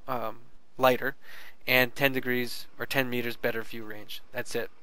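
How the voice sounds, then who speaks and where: A man talks with a bright, sharp tone and fairly even intonation. Room echo is audible. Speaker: gaming video reviewer. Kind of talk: game tutorial with gameplay commentary. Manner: fast; casual, many fillers and restarts.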